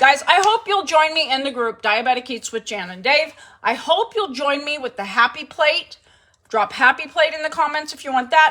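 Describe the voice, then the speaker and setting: Raising and projecting her voice, a woman talks in an animated tone at a moderate pace. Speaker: home cooking livestream host. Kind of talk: casual livestream chat. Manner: loud.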